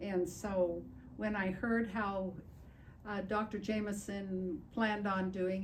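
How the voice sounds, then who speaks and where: The voice moves at a very slow pace with monotone, flat intonation. Audible room echo surrounds it. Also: woman. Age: 80s+. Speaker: patient. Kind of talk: testimony.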